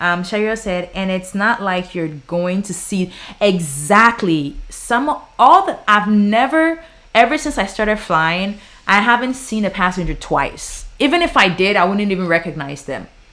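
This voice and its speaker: In a Ghanaian accent, a woman at medium pitch speaks at a fairly slow pace with an animated, bright, sharp tone and very wide pitch swings. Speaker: flight attendant and YouTuber. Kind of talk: livestream Q&A.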